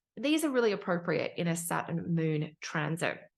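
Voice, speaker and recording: A quiet background surrounds the voice. The speech comes with an Australian accent. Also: woman. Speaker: astrologer. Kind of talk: tutorial.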